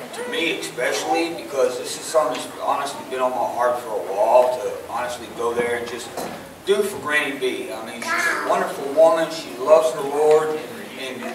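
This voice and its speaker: The speech moves at a fairly quick pace, with big swings in loudness. Audible room echo and noticeable background noise are present. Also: man. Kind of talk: testimony to congregation. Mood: grateful, heartfelt. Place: church.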